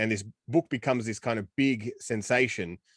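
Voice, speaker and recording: A man speaks at medium pitch and a moderate pace in an Australian accent. The sound is dry and close with no echo, against a quiet background. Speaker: film podcast co-host. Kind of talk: casual chat. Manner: animated.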